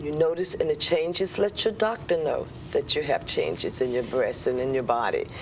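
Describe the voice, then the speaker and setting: Noticeable background noise is present throughout. The words come at a moderate pace, and the pitch varies in an ordinary way. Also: woman. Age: 60s. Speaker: breast cancer survivor. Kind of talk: TV talk show interview.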